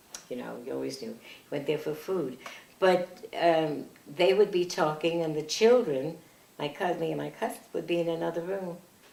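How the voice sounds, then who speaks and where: A woman at a moderate pace, with ordinary pitch variation, big swings in loudness and noticeable background noise. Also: fairly low pitch for a woman. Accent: American. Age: 80s+. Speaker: family elder recalling her parents. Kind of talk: oral history interview. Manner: halting.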